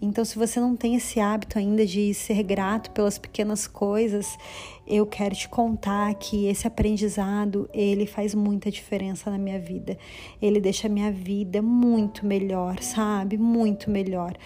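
Her intonation monotone and flat, a woman talks at medium pitch. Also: moderate pace. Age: 30s. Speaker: podcast host. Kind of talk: solo monologue sharing life lessons.

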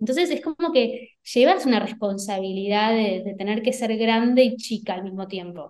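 With hardly any pauses, a woman speaks at a moderate pace and a fairly high pitch, with ordinary pitch variation and an ordinary speaking voice. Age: 30s. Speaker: entrepreneur and online course creator. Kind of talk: interview.

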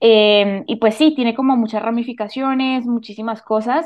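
An unremarkable speaking voice with fairly even intonation, delivered at a moderate pace. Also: woman. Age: 20s. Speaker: university student and podcaster. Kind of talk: casual interview chat.

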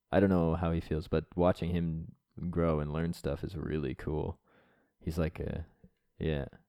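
A man with a Canadian accent speaks in a very deep, low voice with a dark, mellow tone and flat, monotone intonation. His pace is fairly slow with long, frequent pauses, on a very clean recording with a silent background. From Atlantic Canada. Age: 20s. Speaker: tech startup founder. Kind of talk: casual chat.

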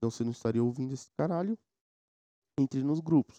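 A man's dark, mellow voice at a fairly quick pace with ordinary pitch variation, dry and close with no echo, over a quiet background. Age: 20s. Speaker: podcast host. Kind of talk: casual solo monologue.

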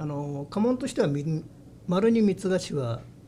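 A man's fairly high voice with lively intonation at a fairly slow pace, plus noticeable background noise. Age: 60s. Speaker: head of a long-established family business. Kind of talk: interview. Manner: halting.

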